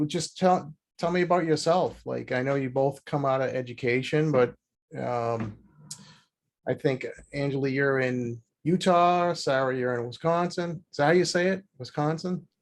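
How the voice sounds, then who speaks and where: In a Boston accent, a man talks at a moderate pace with a fairly high pitch. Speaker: podcast host and accounting firm owner. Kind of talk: interview conversation.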